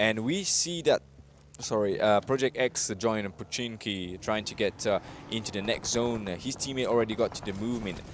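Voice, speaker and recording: Moderate pace and ordinary pitch variation in a Mauritian accent. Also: man, medium pitch for a man. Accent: Mauritian, slightly French-sounding. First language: Mauritian Creole. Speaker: esports caster. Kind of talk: live commentary. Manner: animated.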